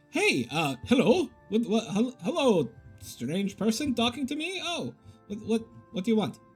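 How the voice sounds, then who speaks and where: Faint music sits behind a put-on character voice pitched fairly high. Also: moderate pace. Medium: actual play. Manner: stammering, flustered.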